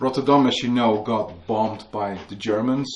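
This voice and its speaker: A man with a Dutch accent and fairly even intonation. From Netherlands. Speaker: author and museum worker. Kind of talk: book launch talk. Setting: museum with live audience.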